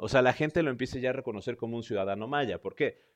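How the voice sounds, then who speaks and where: A man speaks in an animated tone with a central Mexican accent against a quiet background. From central Mexico. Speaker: history podcast host. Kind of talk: casual storytelling monologue.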